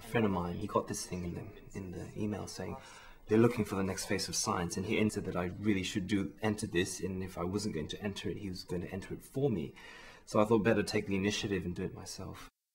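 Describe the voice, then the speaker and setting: Somewhat breathy and fairly low, a man talks at a very fast pace with a New Zealand accent. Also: fairly even intonation. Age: 20s. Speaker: research chemist, science communication contestant. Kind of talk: interview.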